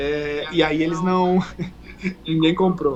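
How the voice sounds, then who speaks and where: Against noticeable background noise, a man speaks with a Brazilian accent. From southern Brazil, Uruguaiana (Rio Grande do Sul). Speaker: fitness coach. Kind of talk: casual chat. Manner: halting.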